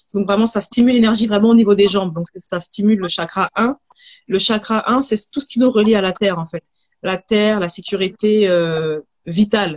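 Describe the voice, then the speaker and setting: A woman's unremarkable speaking voice, medium in pitch, with ordinary pitch variation and a dry, close sound with no echo. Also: moderate pace. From Haiti. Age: 30s. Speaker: holistic hair therapist and entrepreneur. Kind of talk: live video interview. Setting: livestream.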